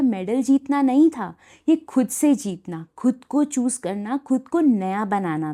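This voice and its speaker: A woman with a high pitch and a dark, mellow tone swings her pitch very widely, recorded very cleanly against a silent background. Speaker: poet and storyteller. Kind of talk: spoken word storytelling.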